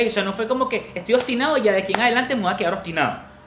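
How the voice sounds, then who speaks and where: The tone is animated. Noticeable background noise sits behind it. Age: 30s. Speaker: podcast host. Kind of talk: closing message; casual chat.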